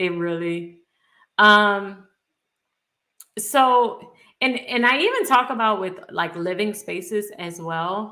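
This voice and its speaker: With a New Orleans accent, the speech moves at a very slow pace with ordinary pitch variation. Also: woman, medium pitch for a woman. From US South, New Orleans, Louisiana. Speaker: personal finance youtuber. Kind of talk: live stream Q&A. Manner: casual, conversational.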